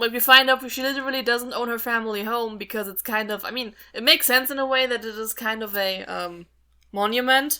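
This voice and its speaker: Over a silent background in a very clean recording, a woman with a non-native accent speaks at a fairly quick pace in a fairly high pitch, her bright, sharp tone showing big swings in loudness while her intonation stays fairly even. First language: not English. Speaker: podcast co-host. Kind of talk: casual chat.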